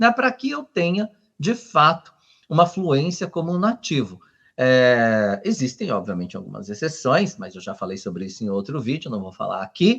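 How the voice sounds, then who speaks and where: This man talks at a moderate pace with a fairly high pitch that makes very wide swings. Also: big swings in loudness, quiet background. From Brazil. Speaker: language teacher. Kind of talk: tutorial. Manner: hesitant, with filler words.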